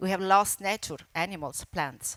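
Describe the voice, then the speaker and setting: A woman with an Italian accent, bright, sharp tone and moderate pace, on a very clean recording with a silent background. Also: dry, close sound with no echo. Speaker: environmental campaigner and broadcaster. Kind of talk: conference speech. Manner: halting.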